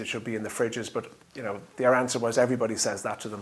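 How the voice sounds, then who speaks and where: A man speaks with an Irish accent at a medium pitch. His intonation is monotone and flat. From Ireland. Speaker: drinks company founder. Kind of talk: interview monologue. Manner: hesitant, many fillers.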